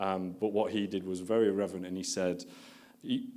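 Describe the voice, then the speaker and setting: A man's very deep, low, monotone voice with flat intonation, in a northern English accent, at a fairly quick pace, with audible room echo. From northern England. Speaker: marketing executive. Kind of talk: conference talk. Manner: casual and conversational.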